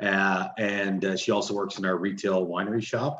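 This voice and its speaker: A man with a fairly low voice speaks in a Canadian Maritime accent. There is audible room echo but a quiet background. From Halifax, Nova Scotia, Canada; Nova Scotia, Canada. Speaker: winery owner; panelist. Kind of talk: panel discussion. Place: office. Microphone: video call.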